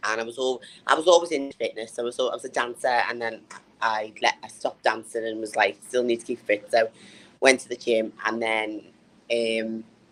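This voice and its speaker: Speaking with a northern English accent, a woman uses a very deep, low pitch, a moderate pace and fairly even intonation. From northern England. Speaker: bodybuilder and personal trainer. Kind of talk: interview.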